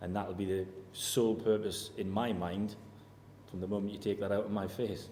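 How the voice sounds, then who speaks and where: Flat, monotone intonation over a dark, mellow tone at a moderate pace. Audible room echo surrounds the voice. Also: man, fairly low pitch for a man. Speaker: football manager. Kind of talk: press interview. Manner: level tone.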